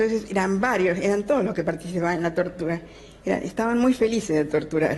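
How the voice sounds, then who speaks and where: A woman at medium pitch, very fast, with very even loudness and ordinary pitch variation. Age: 70s. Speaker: survivor of state torture, former hospital worker. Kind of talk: interview answer.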